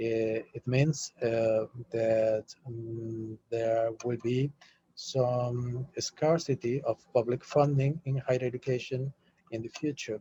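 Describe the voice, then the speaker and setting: Speaking very slowly in a Spanish accent, a man uses a flat monotone at medium pitch, his dark, mellow voice somewhat breathy and the sound dry and close with no echo. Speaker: UNESCO delegate / panelist. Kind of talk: webinar panel discussion. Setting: video call. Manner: halting, many fillers.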